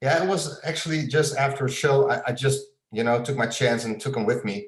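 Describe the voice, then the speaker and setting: A man's fairly high, somewhat breathy voice with a Dutch accent, fairly quick pace and ordinary pitch variation. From Netherlands. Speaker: illustrator and graphic designer. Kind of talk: interview. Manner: halting, many fillers and repeats.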